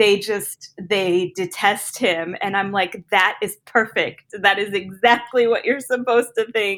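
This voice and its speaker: A woman's plain, everyday voice, medium in pitch, fairly slow and fairly even in intonation, with hardly any pauses. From US Southwest, Arizona. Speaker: fantasy author and teacher. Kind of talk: casual interview chat.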